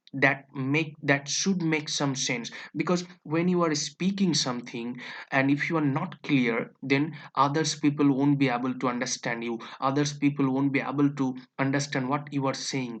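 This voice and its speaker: The speaker has a Bengali accent and a moderate pace. The background is quiet. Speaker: English teacher. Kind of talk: tutorial. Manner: halting, with frequent fillers and self-corrections.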